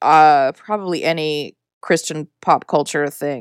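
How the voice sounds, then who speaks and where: Recorded very cleanly against a silent background, a woman with a northern US accent speaks at a fairly low pitch in a dry, close sound with no echo. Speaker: podcast host. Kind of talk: casual chat.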